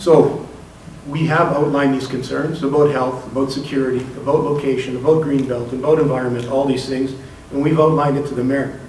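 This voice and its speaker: Amid noticeable background noise and audible room echo, a man talks at a fairly quick pace in a flat, monotone intonation. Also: fairly high pitch for a man. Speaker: community organizer. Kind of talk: public speech. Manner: determined.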